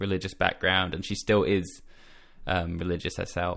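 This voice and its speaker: This man has an Australian accent. His pitch is very deep and low. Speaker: music journalist and copywriter. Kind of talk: casual interview chat. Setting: video call from bedroom in quarantine.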